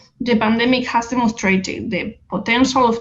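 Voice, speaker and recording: The woman's voice is somewhat breathy and moves at a moderate pace. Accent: Spanish. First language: Spanish. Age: young. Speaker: activist, NGO director. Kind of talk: reading a prepared speech.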